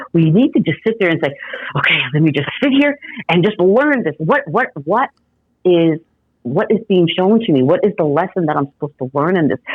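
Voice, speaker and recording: Animated and fairly quick, a woman speaks at a fairly low pitch with very wide pitch swings. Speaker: Reiki master and intuitive empath. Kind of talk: podcast interview.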